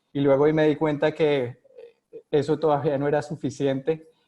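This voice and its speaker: A man speaks at a moderate pace with a Colombian accent. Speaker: epidemiologist, physician. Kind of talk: interview. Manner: halting, many fillers.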